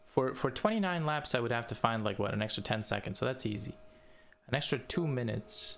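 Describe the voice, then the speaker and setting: A man speaks at a fairly quick pace with a non-native accent. His voice is medium in pitch and lively in intonation. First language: not English. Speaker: video game streamer. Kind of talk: live gaming stream commentary. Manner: casual, animated.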